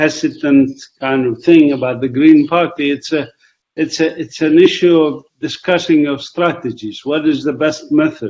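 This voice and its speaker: At a moderate pace, a man speaks with a fairly high pitch and fairly even intonation. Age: 60s. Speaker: professor. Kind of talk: casual chat. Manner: halting.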